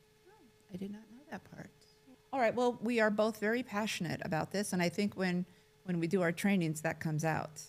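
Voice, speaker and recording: This woman has an unremarkable speaking voice with ordinary pitch variation. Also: medium pitch for a woman, fairly quick pace. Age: 60s. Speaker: care administrator. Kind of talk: casual chat.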